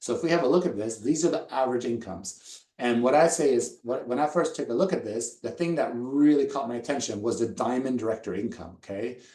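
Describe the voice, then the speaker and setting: A man at medium pitch, very fast, in a dark, mellow tone with ordinary pitch variation. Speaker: network marketing presenter. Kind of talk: sales pitch.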